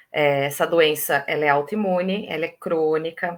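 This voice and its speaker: A woman speaks at a fairly slow pace in a plain, everyday voice, with ordinary pitch variation. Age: 30s. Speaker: mother of a child with diabetes. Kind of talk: live stream interview.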